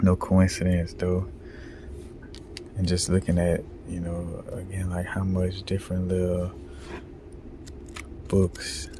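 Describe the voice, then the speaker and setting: A man's very deep, low voice in a flat monotone, very slow, broken by long, frequent pauses, over noticeable background noise. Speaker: video blogger. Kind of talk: casual monologue vlog. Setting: library. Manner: talking low.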